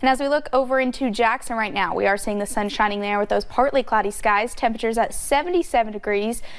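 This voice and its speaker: A woman's plain, everyday voice, fairly high in pitch, at a fairly quick pace with hardly any pauses and ordinary pitch variation. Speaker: TV meteorologist. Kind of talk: weather forecast. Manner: upbeat.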